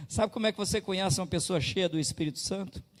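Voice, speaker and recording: The man's intonation is lively. His voice is somewhat breathy. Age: 60s. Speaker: pastor. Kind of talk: sermon.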